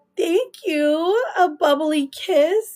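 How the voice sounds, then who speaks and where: A woman speaks with music in the background. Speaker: tarot reader livestreamer. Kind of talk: live stream chat with viewers. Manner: casual, chatty with fillers.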